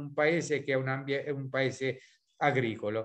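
A man speaks at a very slow pace with fairly high pitch. The background is quiet. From central Italy, Sibillini area; central Italy. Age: 60s. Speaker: beekeeping professor. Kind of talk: webinar presentation. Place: home room. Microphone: video call.

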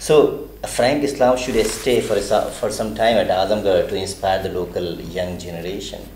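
There is audible room echo and light background noise. Over it, a man talks at a moderate pace. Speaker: journalist interviewer. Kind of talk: interview. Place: meeting room. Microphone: handheld.

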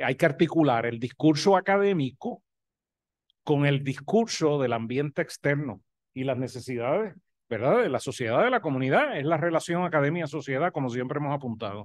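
A man with a Puerto Rican accent speaks at a moderate pace with lively intonation against a quiet background. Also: fairly high pitch for a man. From Puerto Rico. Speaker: professor of health education. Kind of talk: academic presentation. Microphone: video call.

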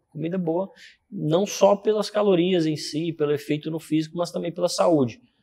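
A man with a high pitch, dark, mellow tone, ordinary pitch variation and moderate pace. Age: 20s. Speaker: fitness and hormone specialist; interview guest. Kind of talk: casual interview. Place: gym.

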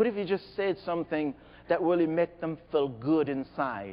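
With a Haitian accent, a man speaks in a fairly high voice that swings very widely in pitch. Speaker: motivational speaker. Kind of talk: keynote speech. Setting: stage with audience. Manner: animated. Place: hall.

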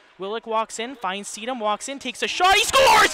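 The pace is moderate and the sound is dry, with no echo. Loud background noise runs underneath. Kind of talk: live sports commentary. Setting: broadcast of a hockey game. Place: stadium. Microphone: headset.

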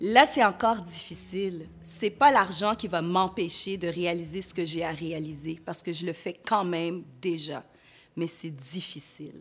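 A woman's fairly low voice at a fairly slow pace, with ordinary pitch variation and big swings in loudness. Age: 40s. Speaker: entrepreneur; interviewee. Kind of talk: interview testimony. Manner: halting. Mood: earnest, sometimes smiling. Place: studio. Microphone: lapel.

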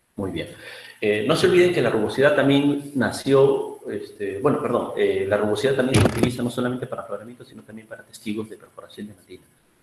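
A man's loudness swings a lot. Audible room echo and noticeable background noise surround him. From Peru, Áncash highlands. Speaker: geologist, rock mechanics engineer. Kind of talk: lecture; Q&A answers. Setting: video call. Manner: halting. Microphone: webcam.

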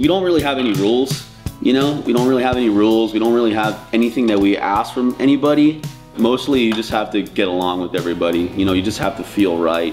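Music plays behind the voice. A man speaks very fast, his intonation lively. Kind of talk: interview answer. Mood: enthusiastic, laughing, casual swearing. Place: garage.

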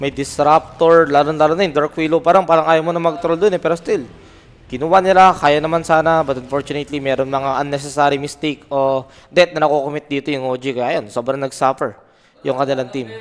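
This is a plain, everyday voice moving at a fairly quick pace. The intonation stays fairly even. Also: man, fairly high pitch for a man. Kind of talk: esports commentary. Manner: relaxed analyst, conversational, with short agreeing interjections.

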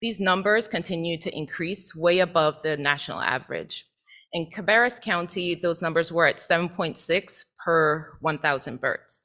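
Her American accent and bright, sharp tone come through a very clean recording with a silent background as a woman with a fairly low pitch speaks at a moderate pace with ordinary pitch variation. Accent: slight Caribbean accent with some Southern. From US Virgin Islands, Saint Thomas. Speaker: associate professor. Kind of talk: presentation to board. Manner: formal.

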